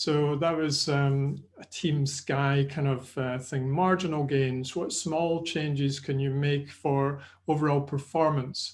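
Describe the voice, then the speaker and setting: Against a quiet background, a man with a Scottish accent speaks very slowly at a fairly high pitch, somewhat breathy and with fairly even intonation. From Scotland. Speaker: sports nutrition and exercise presenter. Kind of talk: webinar lecture. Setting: online webinar. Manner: hesitant, many fillers.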